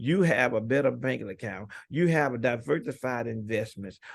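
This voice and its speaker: Lively intonation carries this man's medium-pitched voice. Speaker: financial literacy coach. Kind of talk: live webinar Q&A. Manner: animated, motivational.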